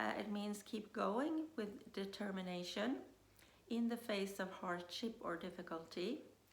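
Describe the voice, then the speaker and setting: Speaking at a fairly slow pace with vocal fry, a woman uses a medium pitch and ordinary pitch variation, with audible room echo around her. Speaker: business coach. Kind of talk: motivational talk. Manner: hesitant, many fillers.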